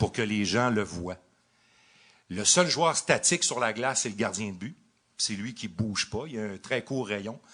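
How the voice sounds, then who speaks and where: A man with a Quebec accent speaks at a fairly slow pace in a medium pitch, his tone bright and sharp. His pitch variation is ordinary, and he leaves long, frequent pauses. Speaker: radio hockey play-by-play announcer. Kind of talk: live podcast interview answer.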